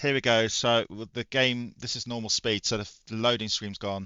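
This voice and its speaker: A man speaks quietly at a moderate pace. His pitch is medium and his intonation fairly even. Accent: British. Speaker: retro gaming YouTuber. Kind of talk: casual gaming review talk. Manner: quiet, low volume.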